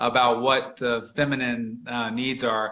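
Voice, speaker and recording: A man speaks loudly. His tone is bright and sharp. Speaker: real estate agent. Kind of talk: casual interview chat. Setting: live video stream. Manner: halting, many repeated words.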